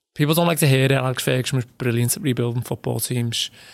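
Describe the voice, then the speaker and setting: A man with a Liverpool accent, medium pitch and fairly even intonation, in a dry, close sound with no echo. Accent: Scouse. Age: 30s. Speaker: football journalist. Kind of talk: casual chat.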